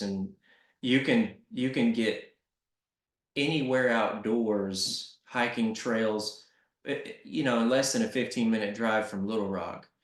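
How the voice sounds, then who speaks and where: A man speaks fairly slowly with a Southern accent. His intonation stays fairly even. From US South, Arkansas. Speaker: nonprofit CEO. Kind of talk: interview. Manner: casual.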